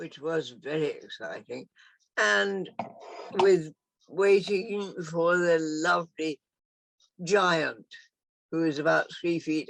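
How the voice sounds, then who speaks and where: Fairly low pitch from a female speaker. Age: 80s+. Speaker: former visitor of community. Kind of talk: casual chat.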